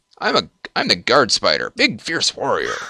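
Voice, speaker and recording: A man performs in a put-on character voice. He keeps a moderate pace. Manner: cheery.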